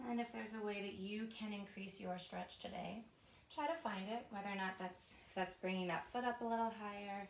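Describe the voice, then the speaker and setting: Soft-spoken and calm, a woman talks in a gentle tone at a medium pitch and a fairly quick pace, her intonation fairly even. Noticeable background noise and audible room echo surround her. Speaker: pilates and stretch instructor. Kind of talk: guided workout class. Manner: calm, gentle cueing.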